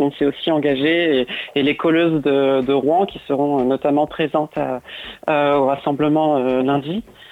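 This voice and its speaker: This woman's voice is very deep and low in pitch. She talks at a fairly slow pace. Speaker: activist. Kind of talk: radio interview. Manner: halting, many repetitions.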